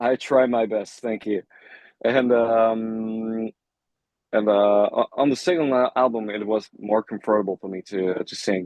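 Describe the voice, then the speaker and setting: A man with a slight non-native accent and medium pitch speaks at a fairly slow pace with fairly even intonation. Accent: slight foreign. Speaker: rock band lead singer. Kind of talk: interview. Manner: halting.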